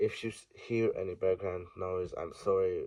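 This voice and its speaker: A man with a Hungarian accent speaks at a very slow pace. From Hungary. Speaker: ant keeper. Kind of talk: casual talk to camera.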